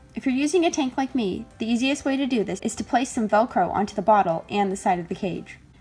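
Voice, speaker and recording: With music in the background, a woman speaks fairly quickly at a fairly high pitch and with lively intonation. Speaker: pet rat keeper. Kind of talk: instructional voiceover.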